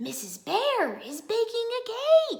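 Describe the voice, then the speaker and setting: Using a put-on character voice, a woman speaks at a fairly slow pace with an extremely high pitch that is shrill and squeaky. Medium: read story. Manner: screeching.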